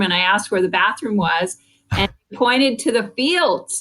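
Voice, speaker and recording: A woman talks with a Californian accent at a moderate pace. Her intonation is lively. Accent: Californian American English. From US West Coast, San Francisco Bay Area. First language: French. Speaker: business school dean and economist. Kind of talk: podcast interview.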